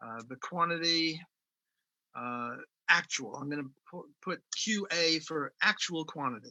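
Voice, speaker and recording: A man speaks at a high pitch and a fairly slow pace. His pitch variation is ordinary. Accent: American. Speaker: economics professor. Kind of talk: lecture. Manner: enthusiastic, halting with fillers.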